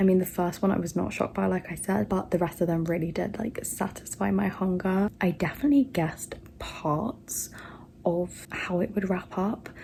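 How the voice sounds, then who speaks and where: A quiet woman's voice at medium pitch, moderate pace and ordinary pitch variation. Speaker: booktuber vlogger. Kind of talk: casual vlog talk to camera. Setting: at home late at night. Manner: quiet, hushed; excited, gushing.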